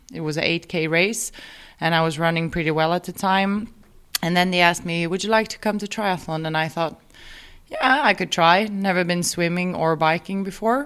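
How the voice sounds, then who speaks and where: With a Swedish accent, a woman speaks in a fairly low pitch. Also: ordinary pitch variation, moderate pace. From Sweden. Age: 30s. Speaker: amateur triathlete. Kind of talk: interview.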